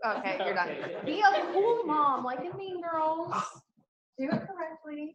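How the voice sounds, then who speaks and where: A woman's extremely high voice with very wide pitch swings, long, frequent pauses and audible room echo. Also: fairly slow pace. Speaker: competition emcee. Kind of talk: event announcements.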